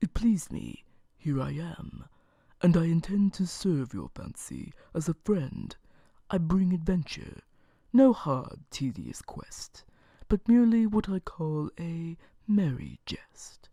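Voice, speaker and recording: This soft-spoken, put-on character voice sits at a middle pitch and moves at a fairly slow pace. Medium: read story. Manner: courteous, mocking.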